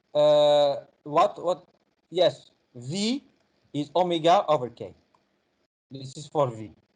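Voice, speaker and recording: A man speaks very slowly in a fairly high pitch, leaving long, frequent pauses. His loudness swings widely, and his pitch varies in an ordinary way. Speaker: university physics professor. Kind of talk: online help session lecture. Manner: halting with many fillers.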